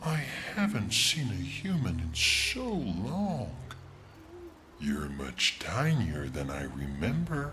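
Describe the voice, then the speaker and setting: A man speaks in a put-on character voice at a very slow pace. Clear background noise can be heard. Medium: video game.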